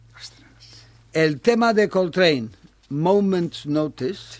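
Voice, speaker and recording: Over a silent background in a very clean recording, a man speaks at a fairly slow pace with very wide pitch swings. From Bilbao, Spain; childhood in Japan, Taiwan and the Philippines. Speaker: jazz club founder and amateur trumpet player. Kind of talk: casual interview.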